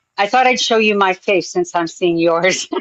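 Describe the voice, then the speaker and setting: Her pitch varies in an ordinary way as a woman with a plain, everyday voice talks at a moderate speed. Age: 60s. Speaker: panelist. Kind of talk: casual chat.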